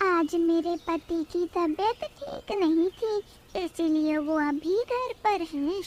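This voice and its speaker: In a cartoonish character voice at an extremely high pitch, a woman speaks at a fairly slow pace with hardly any pauses, the sound dry and close with no echo over clear background noise. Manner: soft, trusting.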